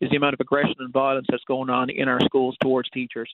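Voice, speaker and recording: The speaker has a Newfoundland accent. The pace is very fast. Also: man. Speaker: teachers' union president. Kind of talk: radio interview. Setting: phone call.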